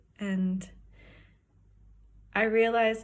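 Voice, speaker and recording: With an American accent, a woman speaks in a somewhat breathy voice over audible room echo. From Wyoming, US. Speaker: professional skier. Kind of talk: personal testimony.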